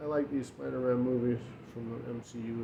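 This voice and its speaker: A man's medium-pitched voice at a fairly quick pace, fairly even in intonation, with audible room echo and noticeable background noise. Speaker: YouTuber, collector. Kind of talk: casual show-and-tell vlog. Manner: halting, stammering.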